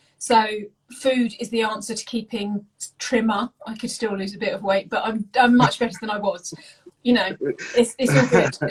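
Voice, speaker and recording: A woman speaks with an English accent at a moderate pace. Her loudness swings widely while her pitch varies in an ordinary way. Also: fairly high pitch for a woman. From England. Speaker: home cook and food content creator. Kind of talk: casual interview chat.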